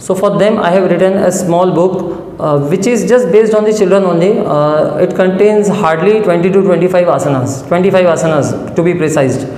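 A man with a high pitch speaks at a moderate pace with ordinary pitch variation and hardly any pauses, and audible room echo surrounds his voice. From India. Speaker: journalist. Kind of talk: interview. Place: studio. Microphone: lapel.

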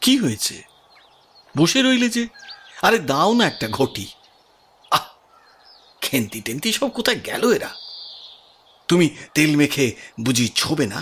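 Mumbling in a put-on character voice, a man speaks at a fairly high pitch with very wide pitch swings and a moderate pace. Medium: audio drama. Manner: hesitant, mumbling, sheepish.

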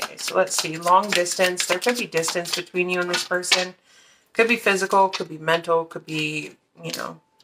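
A woman keeps a moderate pace as loud background noise fills the clip. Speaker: card reader. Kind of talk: tarot reading commentary. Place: home room.

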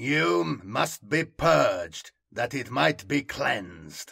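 On a very clean recording with a silent background, a man does a put-on character voice at a very slow pace, fairly bright in tone with a slightly husky edge, vocal fry, and big pitch swings. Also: medium pitch for a man.

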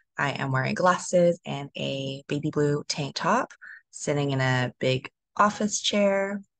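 A woman speaks at a very slow pace with ordinary pitch variation, her dry, echo-free sound set against a quiet background. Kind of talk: panel self-introduction. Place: home room. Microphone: video call.

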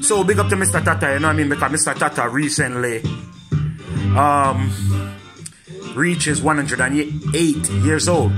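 A man talks at a moderate pace. Music sounds clearly in the background. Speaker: vlogger. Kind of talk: casual talk to camera. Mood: warm, respectful. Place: home room. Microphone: phone near.

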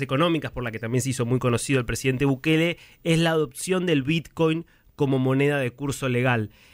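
A man speaks at a fairly quick pace in a medium pitch, with a normal speaking voice. His pitch varies in an ordinary way. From Argentina. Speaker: radio journalist. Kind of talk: radio interview.

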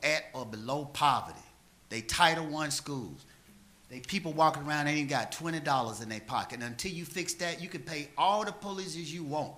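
Audible room echo carries a man's bright, sharp voice, fairly high in pitch, at a moderate pace. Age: 60s. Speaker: city council member. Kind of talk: council meeting speech. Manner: impassioned.

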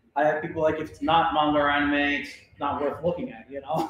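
A man at a fairly quick pace, with audible room echo and light background noise. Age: 40s. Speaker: cartoonist and art educator; art educator. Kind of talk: workshop lecture. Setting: library workshop room with audience, livestreamed. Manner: casual with many filler words. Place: hall. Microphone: camera far.

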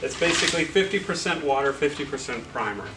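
Music plays in the background. A man talks with ordinary pitch variation. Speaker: installer giving a demonstration. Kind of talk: tutorial. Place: cafe. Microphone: camera far.

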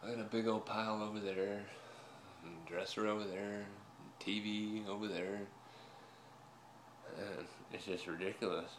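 Over noticeable background noise, a man speaks at a moderate pace with long, frequent pauses. His pitch is fairly low and his intonation monotone and flat. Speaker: pipe smoker vlogger. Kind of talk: casual vlog chat. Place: home room. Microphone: phone near.

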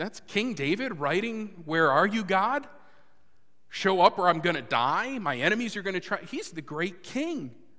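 A man with a high pitch uses a raised, projected voice with a bright, sharp tone and very wide pitch swings. He keeps a moderate pace against a quiet background. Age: 30s. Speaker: pastor. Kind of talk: sermon. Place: church.

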